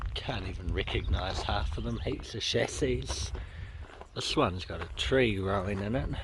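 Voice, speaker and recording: A man's very deep, low voice at a moderate pace, with very wide pitch swings and audible room echo. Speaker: car vlogger. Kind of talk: casual walk-around vlog narration. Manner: mumbling.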